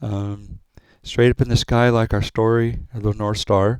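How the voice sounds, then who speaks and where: A man with a fairly low pitch speaks in a monotone, flat intonation. The recording is very clean with a silent background and a dry, close sound with no echo. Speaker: astrologer. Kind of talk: presentation. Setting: recorded video for a fair. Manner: halting.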